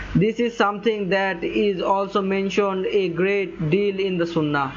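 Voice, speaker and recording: A man speaks at a moderate pace and a high pitch, with fairly even intonation and very even loudness. Noticeable background noise runs underneath. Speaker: Islamic religious teacher. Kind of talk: religious talk on Islamic teachings. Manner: speaks with hesitations and self-corrections.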